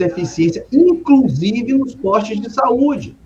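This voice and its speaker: A man's pitch swings very widely as he talks at a fairly slow pace, with noticeable background noise around him. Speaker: city councillor and mayoral pre-candidate, emergency doctor. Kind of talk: political interview. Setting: live stream interview.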